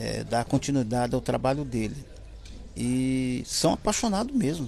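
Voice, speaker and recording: A man speaks at a fairly slow pace. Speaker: musician, relative of a famous singer. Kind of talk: interview.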